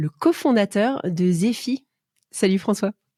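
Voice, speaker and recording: Fairly slow and somewhat breathy, a woman speaks with a dark, mellow tone at medium pitch and lively intonation. The recording is very clean, with a silent background and a dry, close sound with no echo. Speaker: podcast host. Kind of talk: interview.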